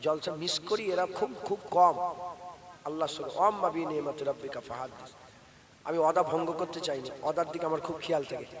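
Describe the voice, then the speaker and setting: Over noticeable background noise, a man speaks in a fairly high pitch with fairly even intonation. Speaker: Islamic preacher. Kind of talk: sermon. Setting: religious gathering with audience.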